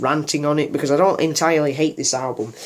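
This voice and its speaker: A man at a fairly quick pace, fairly high in pitch, with monotone, flat intonation. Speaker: YouTuber, music reviewer. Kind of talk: casual vlog monologue. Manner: halting, unscripted with many fillers.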